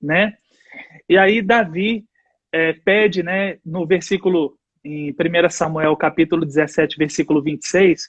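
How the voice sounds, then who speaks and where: A man's high voice, fairly slow, with fairly even intonation. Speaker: church leader. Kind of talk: casual chat with bible teaching.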